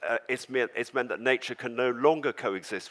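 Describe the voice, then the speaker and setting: A man with a southern English accent, medium in pitch, in a dry, close sound with no echo. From England, London. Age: 70s. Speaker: organic farmer and storyteller. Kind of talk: storytelling talk on stage. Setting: stage with audience.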